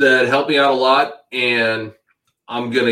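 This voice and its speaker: With a bright, sharp tone, a man speaks at a medium pitch with ordinary pitch variation. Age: 50s. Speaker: webcam model. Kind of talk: casual interview chat.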